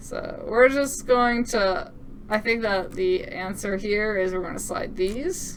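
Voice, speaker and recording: Speech comes at a very slow pace in an upbeat tone with lively intonation. Noticeable background noise and audible room echo are present. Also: woman. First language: French. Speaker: game developer demoing own game. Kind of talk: gameplay demo commentary. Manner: casual, upbeat.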